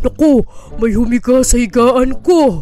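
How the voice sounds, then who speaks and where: Someone puts on a character voice with a fairly high pitch, speaking at a fairly slow pace over light background noise. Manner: alarmed, exclaiming.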